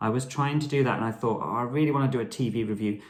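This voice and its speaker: A man talks at a very fast pace with fairly even intonation. Audible room echo surrounds his voice. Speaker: blogger. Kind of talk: casual vlog tutorial.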